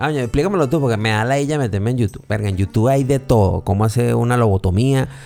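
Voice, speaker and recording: With a Venezuelan accent, a man talks at a very fast pace with hardly any pauses while music plays in the background. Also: medium pitch for a man, ordinary pitch variation, very even loudness. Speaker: podcast host. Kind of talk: casual chat.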